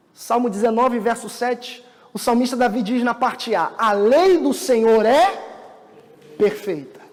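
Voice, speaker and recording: A man talks at a fairly slow pace with long, frequent pauses and an extremely high pitch. His intonation is lively, and the recording carries noticeable background noise and audible room echo. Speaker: pastor. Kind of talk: sermon.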